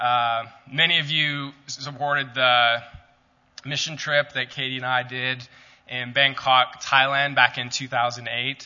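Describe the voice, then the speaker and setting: The delivery is monotone and flat, at a fairly slow pace, with an American accent. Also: man, medium pitch for a man. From Calgary, Canada. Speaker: ministry staff member giving a talk. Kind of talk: church talk. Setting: church.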